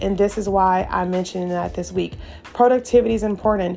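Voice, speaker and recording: A woman speaks at a moderate pace with a medium pitch. Her intonation is flat and monotone, with music playing in the background. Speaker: podcast host and content creator. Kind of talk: casual solo talk with tips. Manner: conversational with frequent fillers and laughs.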